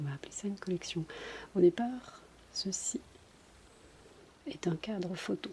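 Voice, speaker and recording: Her pitch is medium for a woman, and she varies it in an ordinary way. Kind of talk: casual ASMR collection show-and-tell. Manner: soft-spoken.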